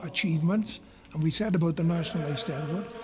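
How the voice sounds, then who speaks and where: A man talks fairly quickly in a high register. Background noise is noticeable, and his pitch moves in an ordinary way. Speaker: male voice choir member. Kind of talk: interview answer.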